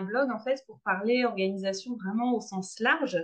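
Here a woman speaks with a fairly high pitch. Her pace is moderate, and her pitch variation is ordinary. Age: 30s. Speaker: blogger. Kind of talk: interview. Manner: halting, many repetitions and fillers.

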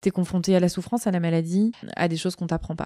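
Fairly low-pitched woman, dark and mellow in tone, fairly quick, with fairly even intonation. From southern France, Marseille. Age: 30s. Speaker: general practitioner. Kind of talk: casual chat.

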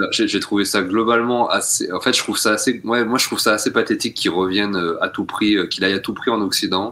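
A man's fairly low, bright and sharp voice at a very fast pace with hardly any pauses, very even loudness and fairly even intonation. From rural France. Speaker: podcast co-host. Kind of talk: casual chat.

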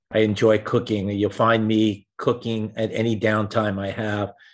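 A man's medium-pitched voice over a quiet background. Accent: New York. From New York City (Rockaway, Queens). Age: 60s. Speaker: wealth manager. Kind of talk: interview.

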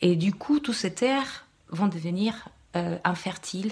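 Somewhat breathy and at a fairly slow pace, a woman with a Spanish accent speaks with lively intonation. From Chile. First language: Spanish (speaking French). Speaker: podcast guest, Chilean woman. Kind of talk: public panel discussion. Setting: live event with audience.

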